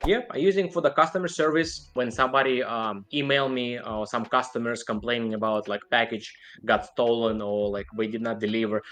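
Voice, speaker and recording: A man with a non-native accent and medium pitch talks at a fairly quick pace with hardly any pauses. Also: ordinary pitch variation. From outside the United States. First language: not English. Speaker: online seller. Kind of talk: interview.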